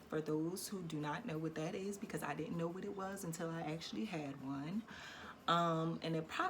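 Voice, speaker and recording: A woman with an American accent, a very deep, low pitch and ordinary pitch variation, over noticeable background noise. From Philadelphia, Pennsylvania. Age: 30s. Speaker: vlogger. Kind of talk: personal story time vlog. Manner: casual, hesitant with many fillers.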